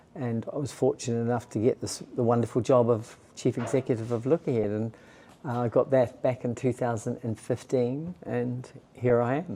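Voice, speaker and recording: A man speaks in a New Zealand accent at a moderate pace. His medium-pitched voice has a dark, mellow tone and fairly even intonation. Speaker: charity chief executive. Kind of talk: interview. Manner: hesitant, with false starts.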